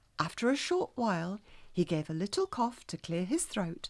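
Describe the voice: What's heard here is plain reading aloud.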